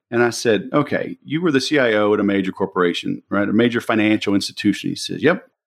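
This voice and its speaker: At a fairly quick pace, a man with an American accent and an ordinary speaking voice talks at medium pitch with ordinary pitch variation. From US South, Louisiana (Baton Rouge). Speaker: sales trainer and entrepreneur. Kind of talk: interview.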